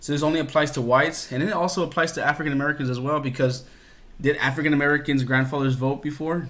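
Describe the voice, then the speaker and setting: With audible room echo, a man speaks in a fairly high, monotone and flat voice at a very fast pace. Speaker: history teacher. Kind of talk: recorded lesson.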